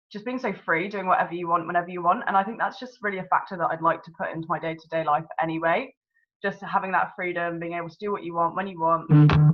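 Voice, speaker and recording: A woman with a southern English accent talks at a very fast pace in an enthusiastic tone, her pitch fairly low. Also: ordinary pitch variation, big swings in loudness. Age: 20s. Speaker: network marketing consultant. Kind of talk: personal testimony. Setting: video call.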